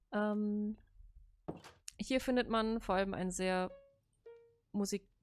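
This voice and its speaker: A woman's medium-pitched voice in a strong German accent, very slow and fairly even in intonation, over background music. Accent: heavy German. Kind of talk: casual talk about a game world.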